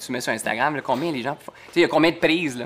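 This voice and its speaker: Speech comes at a very fast pace in a Quebec accent, with ordinary pitch variation. Noticeable background noise is present. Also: man. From Quebec (Saint-Hubert). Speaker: TV host. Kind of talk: casual chat.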